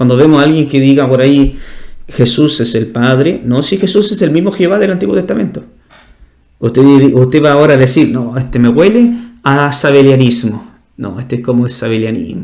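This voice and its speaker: A man's fairly high, fairly quick voice with lively intonation, set in audible room echo. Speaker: pastor. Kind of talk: bible study teaching. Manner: fast.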